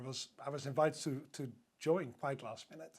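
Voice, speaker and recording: This man speaks with a Dutch accent. His voice is fairly high, with fairly even intonation. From Netherlands. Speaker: hotel sales director. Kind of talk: podcast interview.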